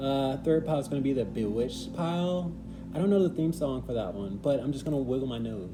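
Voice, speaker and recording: Amid audible room echo, a man with a medium pitch talks at a very fast pace with lively intonation. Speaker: tarot reader. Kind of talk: tarot reading intro.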